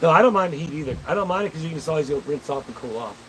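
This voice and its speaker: A man talks with ordinary pitch variation while noticeable background noise fills the recording. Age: 40s. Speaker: livestreamer reading viewer chat. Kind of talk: casual live-stream chat. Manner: animated.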